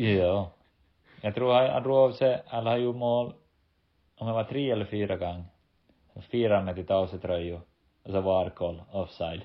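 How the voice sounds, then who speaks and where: At a moderate pace, a man speaks with fairly low pitch and ordinary pitch variation, leaving long, frequent pauses. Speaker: professional footballer and podcast co-host. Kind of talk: casual chat.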